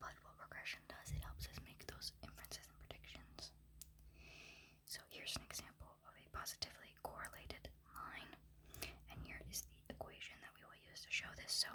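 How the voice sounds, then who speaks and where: Whispering at a fairly quick pace, a woman makes big swings in loudness. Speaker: university student; ASMR creator. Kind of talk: ASMR study lecture walkthrough. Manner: soft-spoken.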